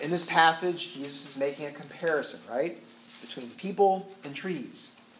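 Someone with an American accent speaks at a moderate pace with ordinary pitch variation and big swings in loudness. Audible room echo and noticeable background noise are present. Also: man. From US Midwest (Indiana). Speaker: pastor. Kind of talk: sermon. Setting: church talk to young adult group.

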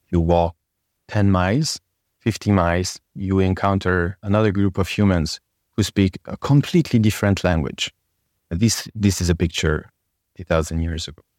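Someone with a French accent speaks at a moderate pace on a very clean recording with a silent background. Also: man, very deep, low pitch for a man, ordinary pitch variation, dry, close sound with no echo. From France. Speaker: storytelling trainer. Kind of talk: casual interview chat.

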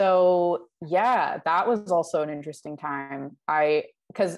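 A woman's fairly low voice with a Canadian accent, an unremarkable speaking voice with ordinary pitch variation, against a quiet background. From Vancouver, Canada. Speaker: musician. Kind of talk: casual interview.

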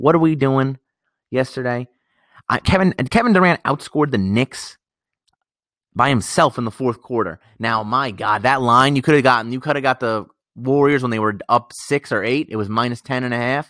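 An animated man with an American accent, medium pitch and a dry, close, echo-free sound. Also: ordinary pitch variation, moderate pace, very clean recording, silent background. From Westchester County, New York. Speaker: sports betting podcaster. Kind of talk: solo casual commentary on betting picks.

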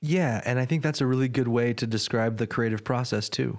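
A man with a plain, everyday voice talks at medium pitch and a moderate pace on a very clean recording with a silent background. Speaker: podcast host. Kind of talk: interview, scripted intro. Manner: articulate, earnest.

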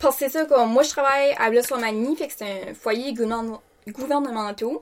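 Speaking with a Quebec accent, a woman keeps a moderate pace and ordinary pitch variation. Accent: Québécois French. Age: 20s. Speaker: care attendant. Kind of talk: casual chat.

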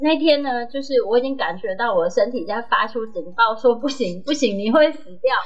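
A woman with a high pitch and lively intonation speaks at a moderate pace with hardly any pauses, music in the background. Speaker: podcast co-host, veterinarian. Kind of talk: casual chat. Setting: studio. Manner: shaky voice.

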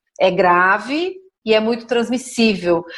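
An unremarkable speaking voice from a woman, fairly high in pitch, with ordinary pitch variation. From Brazil, São Paulo state (São Roque). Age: 40s. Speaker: emergency physician. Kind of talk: interview. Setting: video call.

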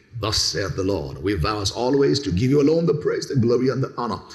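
Noticeable background noise runs behind a man's voice. He talks at a moderate pace with lively intonation. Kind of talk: sermon. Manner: loud, exhorting the congregation to shout back.

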